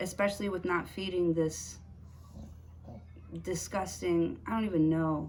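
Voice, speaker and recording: Fairly slow speech broken by long, frequent pauses, with audible room echo. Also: woman. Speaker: tarot reader. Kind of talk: tarot reading to camera. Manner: stuttering today; casual, hesitant with fillers.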